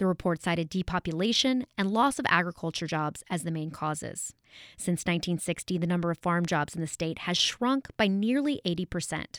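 A woman speaks in a normal speaking voice, pitched fairly low, at a moderate pace. The sound is dry and close, with no echo. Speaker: radio reporter. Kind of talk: scripted news report. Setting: New Orleans. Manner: polished, measured.

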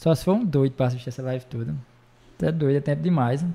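Speaking at a very fast pace, a man with a northeastern Brazilian accent has a medium pitch and a dark, mellow tone. He sounds somewhat breathy, with ordinary pitch variation. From Ceará, Brazil. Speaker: bar owner and show promoter. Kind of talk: casual chat.

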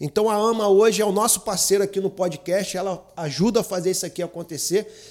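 Delivery comes at a fairly quick pace. Pitch variation is ordinary. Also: man. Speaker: podcast host. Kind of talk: interview.

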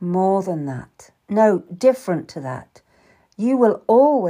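An unforced reading voice with lively intonation sounds against a quiet background.

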